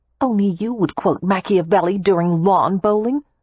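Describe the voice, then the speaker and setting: A put-on character voice, female-sounding, at a medium pitch for a woman. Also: moderate pace. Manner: angry, through gritted teeth.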